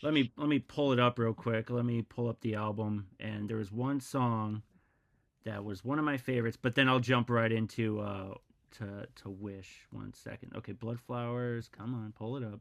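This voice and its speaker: A man with a Midwestern American accent talks at a medium pitch. His pace is moderate and his intonation fairly even. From US Midwest, Missouri. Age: 40s. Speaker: podcast host. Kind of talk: interview.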